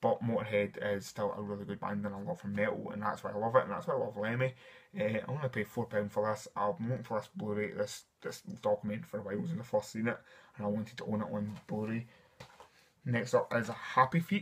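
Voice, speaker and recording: Talking at a very fast pace, a man with a Scottish accent shows ordinary pitch variation. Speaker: film collector and reviewer. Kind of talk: casual talk to camera. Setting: dimly lit room at home. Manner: enthusiastic.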